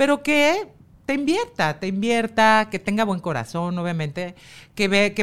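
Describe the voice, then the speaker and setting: A woman at medium pitch speaks at a moderate pace, her voice making very wide pitch swings. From Mexico. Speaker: TV presenter and model. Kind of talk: casual chat.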